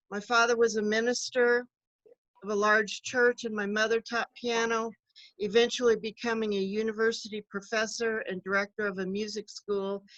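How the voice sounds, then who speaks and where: A woman speaks with an American accent at a fairly high pitch in a monotone, flat intonation. The sound is dry and close, with no echo. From US Midwest, Kansas City area. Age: 60s. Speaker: political candidate, retired social worker. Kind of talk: campaign speech.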